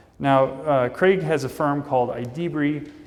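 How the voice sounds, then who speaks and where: Speaking with a Midwestern accent at a moderate pace, a man uses a fairly high pitch and ordinary pitch variation amid audible room echo. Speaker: conference speaker. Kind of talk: conference talk. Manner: casual.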